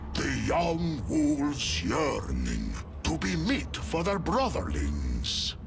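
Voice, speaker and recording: A put-on character voice at a very slow pace, over loud music in the background. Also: man. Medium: machinima. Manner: gruff, boastful, laughing.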